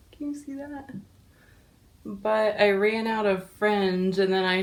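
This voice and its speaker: A woman talks at a fairly slow pace with a medium pitch. It is a plain, everyday voice. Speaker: DIY and resale vlogger. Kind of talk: casual vlog.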